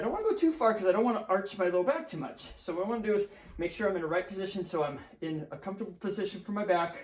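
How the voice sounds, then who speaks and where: Over noticeable background noise, a man with a high pitch talks at a very fast pace. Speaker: physical therapist. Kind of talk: exercise tutorial.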